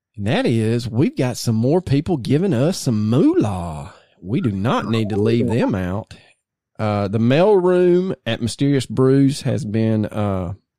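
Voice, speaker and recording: Over a silent background in a very clean recording, a man talks at a fairly slow pace with a medium pitch, very wide pitch swings and a dark, mellow tone. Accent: Southern US. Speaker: podcast co-host. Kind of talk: casual chat.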